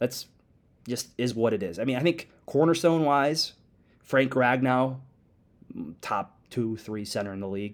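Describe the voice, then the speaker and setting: With an American accent, a man of medium pitch talks at a fairly slow pace with ordinary pitch variation and long, frequent pauses. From Metro Detroit, Michigan. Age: 20s. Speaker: sports podcast host. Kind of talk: solo sports podcast commentary. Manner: animated.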